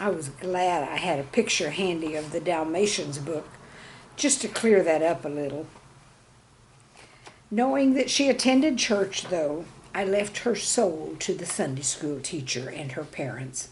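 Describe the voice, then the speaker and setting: Over noticeable background noise, a woman with a fairly low voice talks at a fairly slow pace, her pitch swinging very widely. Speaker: retired teacher. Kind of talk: humor piece read aloud, storytelling about classroom life.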